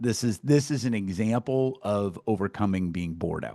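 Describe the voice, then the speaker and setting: A man with a Midwestern American accent, fairly low pitch, animated tone, ordinary pitch variation and moderate pace, in a dry, close sound with no echo and a quiet background. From US Midwest, Iowa. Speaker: success coach and podcast host. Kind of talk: casual interview chat.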